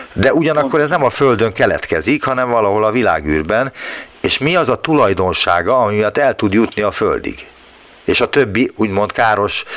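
Noticeable background noise sits behind a man who speaks at a medium pitch and moderate pace, with lively intonation and very even loudness. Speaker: radio science show host. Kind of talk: radio interview. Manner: polite, formal.

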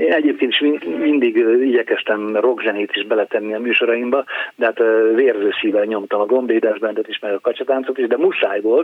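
Medium pitch from a man, with ordinary variation, a moderate pace, and noticeable background noise. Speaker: radio editor-in-chief, former DJ. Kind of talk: interview. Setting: phone call.

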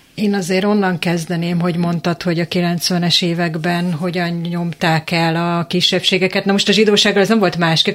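A woman with a fairly low pitch, flat monotone intonation and a fairly quick pace. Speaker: panel guest. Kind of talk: radio discussion.

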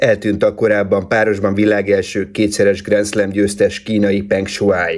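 A man's fairly low voice at a very slow pace, flat and monotone, with very even loudness and hardly any pauses. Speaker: sports news presenter. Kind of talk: news reading. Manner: formal.

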